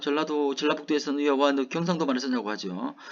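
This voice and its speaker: The speaker is a man. His pitch is fairly high. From South Gyeongsang, Hadong (Korea). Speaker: university lecturer. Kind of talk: lecture. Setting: online recorded class.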